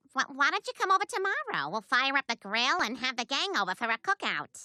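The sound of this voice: A female-sounding cartoonish character voice moves at a fairly quick pace with a high pitch and very wide pitch swings.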